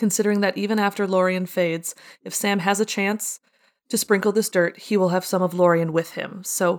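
Fairly even intonation from a natural reading voice, quiet background behind it

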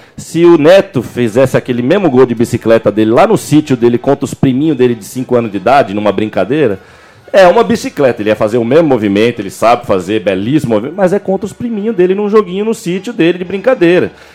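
Over music in the background, a man at medium pitch races along at a very fast pace with hardly any pauses and very wide pitch swings. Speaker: football podcast co-host. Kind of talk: casual chat.

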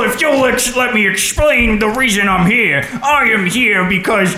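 In a put-on character voice, the speaker goes at a moderate pace and a fairly high pitch.

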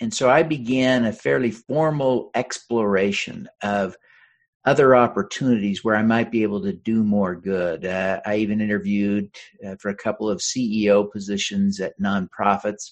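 Against a quiet background, a man with an American accent speaks in a normal speaking voice at a fairly low pitch. His pace is moderate and his pitch variation ordinary. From Utah. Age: 50s. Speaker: congressional candidate and author. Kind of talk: interview.

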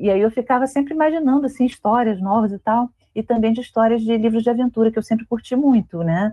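A woman talks at a very fast pace in a fairly high pitch, with ordinary pitch variation. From Brazil, Rio de Janeiro. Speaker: author and librarian. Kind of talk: interview.

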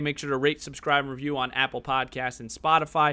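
In a bright, sharp tone, a man speaks at a very fast pace on a very clean recording with a silent background. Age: 20s. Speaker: podcast host. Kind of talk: interview; podcast intro.

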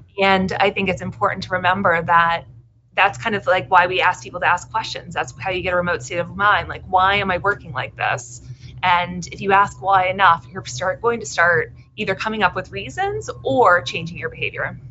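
A woman at a medium pitch speaks at a fairly quick pace, with vocal fry. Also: ordinary pitch variation. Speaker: author. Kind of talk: interview.

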